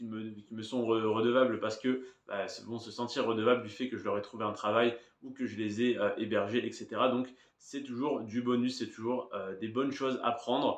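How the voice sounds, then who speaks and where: The man's voice sits at a medium pitch. He speaks with monotone, flat intonation. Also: moderate pace. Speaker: YouTuber. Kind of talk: casual vlog monologue, improvised. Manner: hesitant, many fillers.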